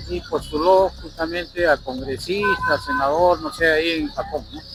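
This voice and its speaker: Over music in the background, a man talks at a fairly slow pace, his loudness swinging widely. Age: 80s+. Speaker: interviewee. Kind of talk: interview. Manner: halting.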